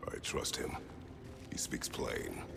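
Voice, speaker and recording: A man whispers in a put-on character voice over loud background noise. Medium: machinima. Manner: terse, grave.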